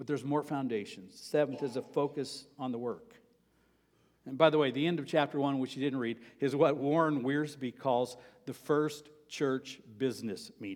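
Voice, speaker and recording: At a moderate pace, a man with a plain, everyday voice speaks in a fairly high pitch. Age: 60s. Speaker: pastor. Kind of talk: sermon. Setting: church.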